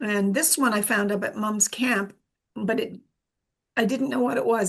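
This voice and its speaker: A woman speaks at a moderate pace with lively intonation. Her medium-pitched voice carries vocal fry. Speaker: amateur naturalist. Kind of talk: presentation talk. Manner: halting with many fillers.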